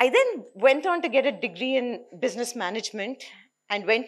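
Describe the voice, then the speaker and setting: With an Indian accent, the speaker talks at a moderate pace with lively intonation. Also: woman. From South India. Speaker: nonprofit founder. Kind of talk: conference talk. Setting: stage with audience. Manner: many fillers. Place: hall. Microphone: podium.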